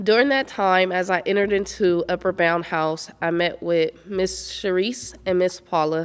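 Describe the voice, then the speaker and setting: In a normal speaking voice, a woman keeps a medium pitch with ordinary pitch variation, moving at a moderate pace with hardly any pauses and very even loudness. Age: 30s. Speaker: honoree sharing her story. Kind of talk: testimony. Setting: virtual event recording.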